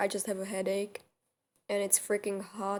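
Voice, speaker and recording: A fairly slow-paced woman with a non-native accent. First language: not English. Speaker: storyteller. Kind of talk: storytime.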